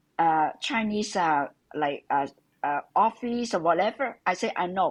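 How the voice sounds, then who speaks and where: A woman with a Hong Kong accent, speaking at a fairly slow pace. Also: quiet background. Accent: Hong Kong Cantonese-accented English. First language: Cantonese. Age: 70s. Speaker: interviewee, retired immigrant mother. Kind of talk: interview. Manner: halting.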